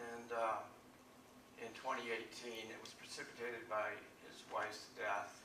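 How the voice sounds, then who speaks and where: Noticeable background noise sits behind a man speaking at a medium pitch and moderate pace. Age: 70s. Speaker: author. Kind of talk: live talk to an audience.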